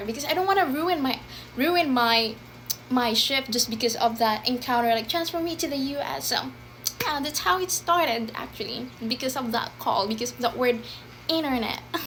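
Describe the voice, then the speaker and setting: Over noticeable background noise, a woman speaks at a moderate pace in a high pitch with lively intonation. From Philippines. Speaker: former call center agent. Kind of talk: casual talk to camera.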